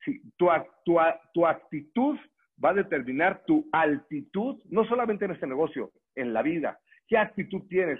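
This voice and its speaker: A man speaks at a fairly slow pace in a high pitch. His pitch swings very widely. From Mexico, Morelia, Michoacán. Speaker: network marketing distributor and trainer. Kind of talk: motivational training talk.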